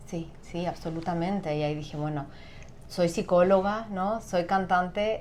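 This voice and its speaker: The woman's voice sits at a fairly low pitch with fairly even intonation. She talks at a fairly slow pace amid audible room echo. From Chile. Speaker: singer and sound therapist. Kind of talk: interview.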